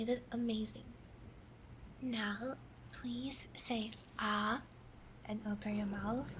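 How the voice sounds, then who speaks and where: A soft-spoken woman whispering at a very slow pace, with long, frequent pauses over noticeable background noise. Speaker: ASMR vtuber. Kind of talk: ASMR medical roleplay, cranial nerve exam. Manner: soft-spoken, whispering.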